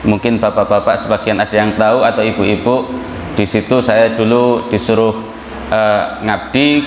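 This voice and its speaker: A man at a moderate pace with a strong Javanese accent, audible room echo and noticeable background noise. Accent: thick Javanese. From Java, Indonesia. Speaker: Islamic preacher. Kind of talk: sermon. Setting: mosque with congregation.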